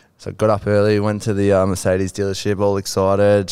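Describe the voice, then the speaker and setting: A man with an Australian accent talks at a fairly quick pace in a very deep, low voice. The recording is very clean, with a silent background. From New South Wales, Australia. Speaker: filmmaker and photographer. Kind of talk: casual chat. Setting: studio.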